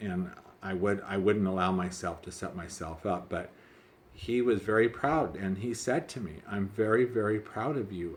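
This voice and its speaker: A man speaks at a moderate pace with a fairly low pitch. His pitch variation is ordinary. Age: 60s. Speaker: vlogger living with HIV. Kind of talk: personal vlog storytelling. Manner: halting.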